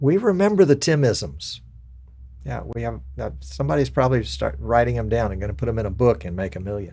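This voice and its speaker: A man with an Alabama accent speaks fairly quickly at a fairly low pitch, in a dark, mellow tone with vocal fry. His pitch swings very widely and his loudness shifts a lot. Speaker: live stream show host. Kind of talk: casual chat.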